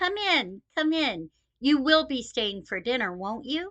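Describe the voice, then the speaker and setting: In a put-on character voice, a woman speaks at a fairly slow pace with a high pitch and very wide pitch swings. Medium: read story. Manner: warm, hospitable.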